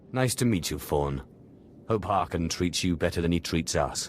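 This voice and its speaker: A man's put-on character voice, very deep and low, at a moderate pace, with clear background noise. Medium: video game. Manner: wry, dry.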